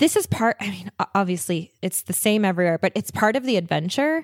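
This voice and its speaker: A woman uses a plain, everyday voice at a medium pitch and a moderate pace. Her intonation is lively, and the sound is dry and close with no echo. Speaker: podcast host and traveler. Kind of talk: casual chat. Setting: video call.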